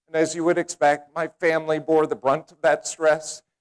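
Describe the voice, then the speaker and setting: The man's voice comes through in a dry, close sound with no echo. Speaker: motivational speaker. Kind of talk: speech contest keynote. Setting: live audience. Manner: energetic.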